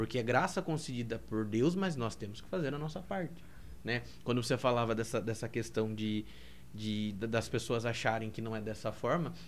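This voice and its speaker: Speaking at a moderate pace, a man with an unremarkable speaking voice keeps a medium pitch with ordinary pitch variation. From Brazil, Piedade (São Paulo state). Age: 20s. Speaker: seminarian. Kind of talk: podcast interview.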